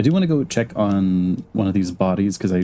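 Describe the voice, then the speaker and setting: Very deep, low male voice with a dark, mellow tone at a moderate pace. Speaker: vtuber streamer. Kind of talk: live game streaming commentary. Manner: casual, hesitant with fillers; soft-spoken.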